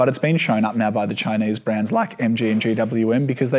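In an Australian accent, a man talks at a fairly quick pace and medium pitch with fairly even intonation. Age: 20s. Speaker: motoring journalist. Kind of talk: casual chat.

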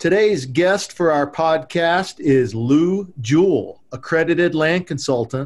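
A man with a fairly high pitch and an ordinary speaking voice talks at a fairly slow pace, with ordinary pitch variation. The recording is very clean, with a silent background. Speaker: podcast host. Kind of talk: interview.

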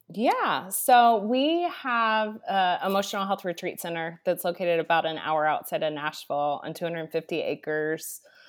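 A woman speaks with an American accent in an unremarkable speaking voice. Her pitch is medium with ordinary variation, and her pace moderate. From Texas, Dallas. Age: 40s. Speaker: retreat center leader, former ministry executive. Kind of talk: podcast interview.

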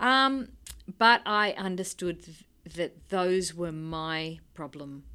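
With an Australian accent and a bright, sharp tone, a woman speaks with ordinary pitch variation in a very clean recording with a silent background. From Sydney, Australia (North Shore). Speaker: cartoonist. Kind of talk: interview conversation. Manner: halting.

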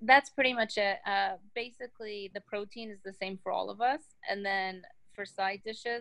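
With an American accent, a woman speaks at medium pitch and a moderate pace, in a normal speaking voice with ordinary pitch variation. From Texas. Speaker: business founder. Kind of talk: interview.

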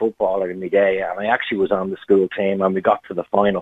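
This man speaks with an Irish accent at a fairly quick pace and a fairly low pitch. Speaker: caller. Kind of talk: phone-in call, storytelling. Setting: phone call.

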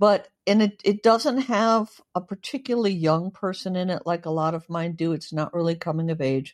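Using an ordinary speaking voice, a woman with an American accent speaks at medium pitch and a moderate pace with lively intonation. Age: 60s. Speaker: author. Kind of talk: casual interview chat.

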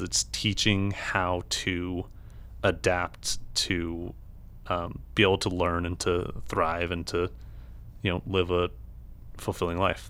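A man talks at a very slow pace with a very deep, low pitch. The recording is very clean, with a silent background. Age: 20s. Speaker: blind advocate. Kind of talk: interview.

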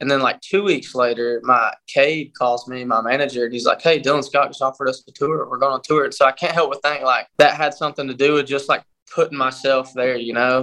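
With a Southern US accent, this man talks at a fairly quick pace in a fairly high pitch, his tone bright and sharp and his intonation fairly even. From Statesboro, Georgia. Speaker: country singer-songwriter. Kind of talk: interview.

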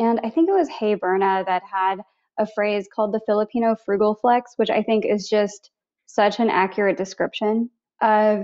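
A woman uses a normal speaking voice with an American accent and a fairly high pitch. Her pace is moderate and her intonation fairly even. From US Midwest, Missouri. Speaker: travel points coach and podcaster. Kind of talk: casual interview.

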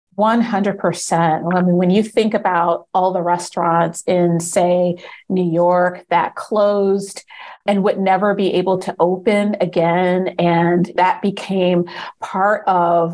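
Speaking in an American accent, a woman holds a medium pitch. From Maryland. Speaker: food journalist and awards judge. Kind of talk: casual interview. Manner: animated.

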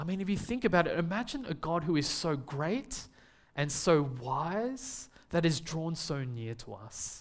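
Speaking in an Australian accent, a man uses a high pitch with very wide pitch swings. His pace is fairly slow. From Australia, Melbourne. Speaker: preacher. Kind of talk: sermon.

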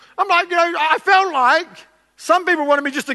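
A man uses a raised, projected voice. His pitch is extremely high. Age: 40s. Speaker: pastor. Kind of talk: sermon.

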